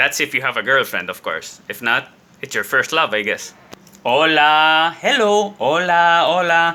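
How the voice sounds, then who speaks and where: Lively in intonation, a man's high-pitched voice comes through with a bright, sharp tone. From Spain. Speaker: Spanish teacher and actor. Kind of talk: casual talk to camera.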